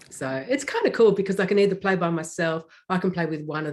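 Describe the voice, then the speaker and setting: Ordinary pitch variation colors the woman's speech in an Australian accent. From Australia, near Melbourne. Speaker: electronic musician. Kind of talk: interview.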